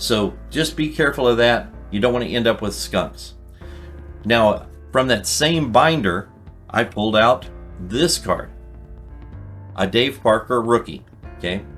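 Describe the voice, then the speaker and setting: A man talks at a fairly slow pace, with long, frequent pauses. Music plays in the background. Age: 60s. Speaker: card collecting youtuber. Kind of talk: casual tutorial. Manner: conversational with fillers.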